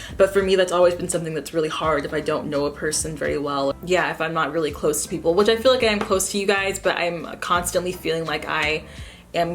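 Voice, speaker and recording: Music plays behind a woman speaking fairly quickly in a fairly low voice with ordinary pitch variation. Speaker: beauty and lifestyle vlogger. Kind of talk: casual vlog monologue. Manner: halting.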